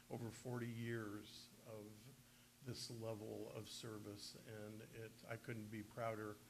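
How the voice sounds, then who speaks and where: In a room with audible echo, a man speaks at a fairly slow pace and medium pitch. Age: 70s. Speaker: county prosecutor. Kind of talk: press conference announcement. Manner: hesitant, many filler words.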